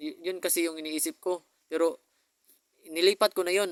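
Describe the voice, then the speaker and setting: Dry and close with no echo, a man's voice is captured. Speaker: vlogger. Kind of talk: personal video message. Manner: fast; halting.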